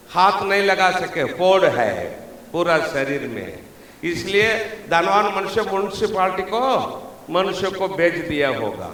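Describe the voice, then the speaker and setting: Amid noticeable background noise and audible room echo, a man with a Tamil accent speaks at a high pitch with ordinary pitch variation. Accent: Tamil-accented Hindi. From Tamil Nadu, India (Dharmapuri/Krishnagiri). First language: Tamil (speaking Hindi). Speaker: pastor. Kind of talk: sermon. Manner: animated.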